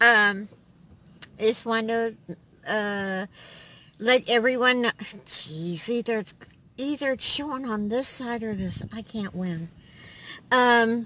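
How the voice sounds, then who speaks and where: The sound is dry with no echo as a woman speaks at a very slow pace with long, frequent pauses, big swings in loudness and ordinary pitch variation. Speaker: vlogger. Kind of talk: casual vlog chat. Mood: friendly, light laughter. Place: car.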